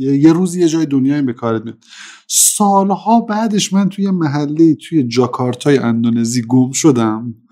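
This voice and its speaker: A man speaks with a dark, mellow tone. His pitch sits fairly high for a man. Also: lively intonation, moderate pace. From Iran, Mashhad (Khorasan). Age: 30s. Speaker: business manager. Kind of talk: interview.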